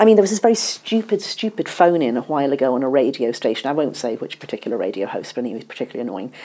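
A woman with a very deep, low pitch talks at a very fast pace with very wide pitch swings and hardly any pauses, against noticeable background noise. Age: 50s. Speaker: journalist and author. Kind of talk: interview.

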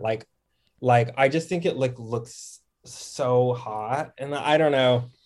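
A man's unremarkable speaking voice at a medium pitch, fairly slow, with ordinary pitch variation. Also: very clean recording, silent background. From Texas, Dallas-Fort Worth. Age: 20s. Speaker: TikTok creator. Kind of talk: casual chat.

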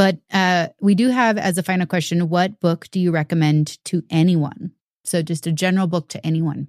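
A woman with a plain, everyday voice and an American accent, fairly low in pitch, fairly even in intonation, at a moderate pace, in a dry, close sound with no echo. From US Pacific Northwest, Seattle. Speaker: podcast host. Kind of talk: interview. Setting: video call.

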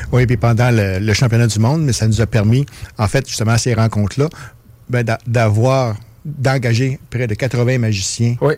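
This man talks at a moderate pace with a medium pitch and fairly even intonation. His voice is somewhat breathy. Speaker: festival artistic director. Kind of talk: interview. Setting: studio.

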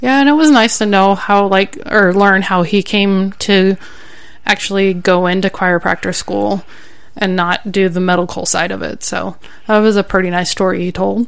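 At a moderate pace, a woman of medium pitch talks in an unremarkable speaking voice. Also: ordinary pitch variation. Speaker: podcast co-host. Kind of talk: casual chat. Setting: studio.

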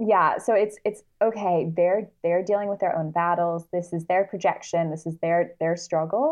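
Her pitch fairly low, a woman speaks at a moderate pace with fairly even intonation and hardly any pauses. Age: 30s. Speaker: journalist and self-love activist. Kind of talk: interview conversation.

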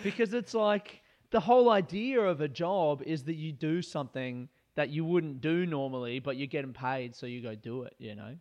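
A man with an Australian accent talks at a moderate pace in a fairly high pitch. His voice shows very wide pitch swings and big swings in loudness against a quiet background. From Australia, Adelaide. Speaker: comedian. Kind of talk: casual chat.

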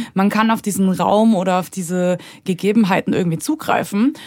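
Medium pitch and ordinary pitch variation in a female voice. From Munich, Bavaria. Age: 30s. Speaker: writer and filmmaker. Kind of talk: casual interview.

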